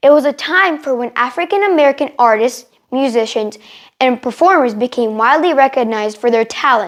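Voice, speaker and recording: At a high pitch and a fairly quick pace, a woman talks with lively intonation. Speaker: English teacher. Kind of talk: educational tour-style lesson. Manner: fast; animated.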